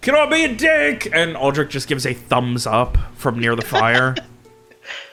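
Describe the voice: This is plain reading aloud. The speech is read out plainly.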